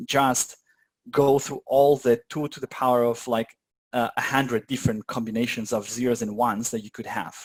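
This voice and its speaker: Dry, close sound with no echo around a man's medium-pitched voice. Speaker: meetup presenter learning quantum computing. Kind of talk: informal technical walkthrough with live audience. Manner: fast; hesitant, many fillers.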